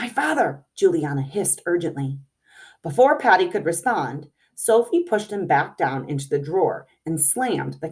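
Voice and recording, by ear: The voice reads aloud naturally. Behind it, things stay quiet.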